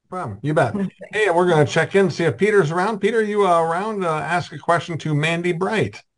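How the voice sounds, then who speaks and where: A man with an American accent speaks at a high pitch with ordinary pitch variation. His pace is fairly quick, with hardly any pauses. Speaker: podcast host. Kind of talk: casual interview. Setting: video call.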